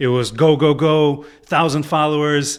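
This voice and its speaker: This man speaks with a Chicago accent. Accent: Chicago American. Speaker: podcast host. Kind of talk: casual chat.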